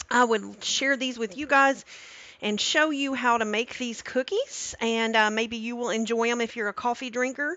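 Her pitch is high for a woman, and her intonation stays fairly even. She speaks at a moderate pace in a dry sound with no echo. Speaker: cooking streamer. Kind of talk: live stream cooking tutorial. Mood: warm, cheerful. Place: kitchen.

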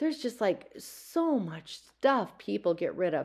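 There is a quiet background behind the woman speaking. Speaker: thrift reseller vlogger. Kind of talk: casual vlog chat. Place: shop. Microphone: phone near.

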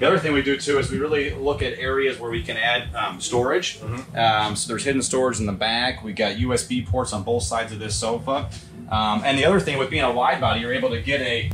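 Clear music can be heard in the background. Over it, a man speaks very fast. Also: ordinary pitch variation. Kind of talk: product walkthrough interview. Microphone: phone near.

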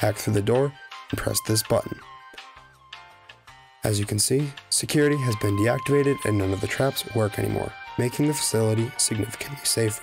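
A man talks in an upbeat tone at a fairly quick pace, with a medium pitch, ordinary pitch variation and very even loudness. He takes long, frequent pauses, with music in the background. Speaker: gaming YouTuber. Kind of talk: gaming tutorial narration. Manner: casual, upbeat.

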